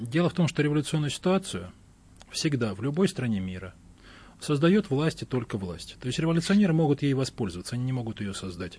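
Somewhat breathy and fairly quick, a man with a medium pitch makes very wide pitch swings against a quiet background. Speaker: historian. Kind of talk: heated debate.

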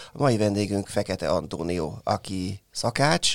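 Vocal fry from a man with ordinary pitch variation, recorded dry and close with no echo. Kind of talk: casual interview. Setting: studio.

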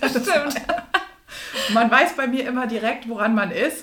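A woman speaks at a moderate pace, and room echo can be heard around her voice. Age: 30s. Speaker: executive and coach. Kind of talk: interview. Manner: animated.

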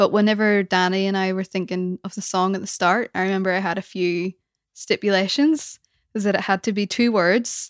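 Recorded very cleanly over a silent background with a dry, close sound and no echo, a woman in a plain, everyday voice speaks at a medium pitch and a fairly quick pace. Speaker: band vocalist and guitarist. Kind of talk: casual chat interview.

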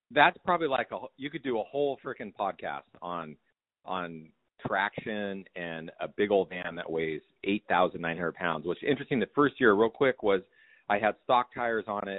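A man speaks at a moderate pace, fairly low in pitch. He has an unremarkable speaking voice. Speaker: guest talking about ski van. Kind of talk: casual chat.

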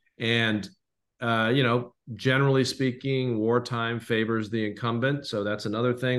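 In an American accent, the speaker keeps a moderate pace with a flat, monotone delivery. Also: man. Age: 60s. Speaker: history podcast co-host. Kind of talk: casual chat.

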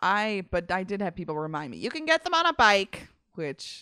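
At a moderate pace, a woman speaks at a medium pitch in a bright, sharp tone with vocal fry and very wide pitch swings, the sound dry and close with no echo on a very clean recording with a silent background. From Massachusetts, suburbs (Wilmington). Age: 20s. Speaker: stand-up comedian. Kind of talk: casual chat.

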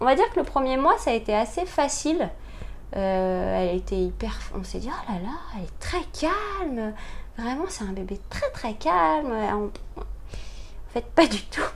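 A woman speaks fairly slowly, her voice carrying an audible room echo. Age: 40s. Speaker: mother sharing experience of late parenthood. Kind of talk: interview testimony. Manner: hesitant, many fillers.

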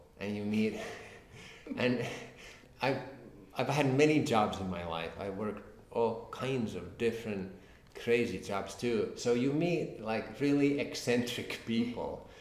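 A man with a Finnish accent, medium-pitched with ordinary variation, at a fairly slow pace with long, frequent pauses and audible room echo. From Finland. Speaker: crime novelist. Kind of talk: interview. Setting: at a literary festival. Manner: halting, repetitive.

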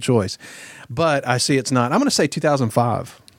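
With a Southern US accent, a man at medium pitch speaks at a fairly quick pace with lively intonation. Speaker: guest co-host. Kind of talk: casual chat.

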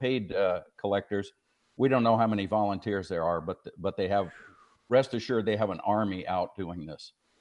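Fairly low in pitch, a man's voice moves at a moderate pace. His pitch varies in an ordinary way. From Arizona. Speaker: pro-life activist. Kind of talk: interview. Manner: hesitant, many fillers.

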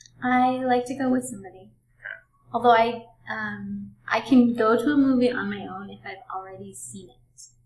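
A woman at a moderate pace, with big swings in loudness and audible room echo. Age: 30s. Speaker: small business owner. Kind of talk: casual interview. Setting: echoey room with loud air conditioning. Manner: quiet at first.

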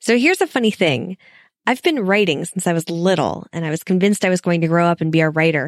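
On a very clean recording with a silent background and a dry, close sound with no echo, a woman with a fairly low pitch talks at a very fast pace with ordinary pitch variation. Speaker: podcaster. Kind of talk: recorded listener message.

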